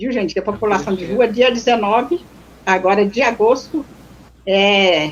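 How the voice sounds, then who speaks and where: A woman speaks at a moderate pace. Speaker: activist, former street dweller. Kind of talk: live stream talk. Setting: online live stream from remote house.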